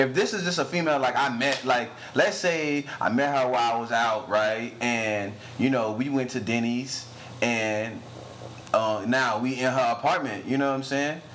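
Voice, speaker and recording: This man's medium pitch has ordinary pitch variation as he moves at a moderate pace, with noticeable background noise behind him. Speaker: podcast host. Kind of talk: casual banter. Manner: casual, joking.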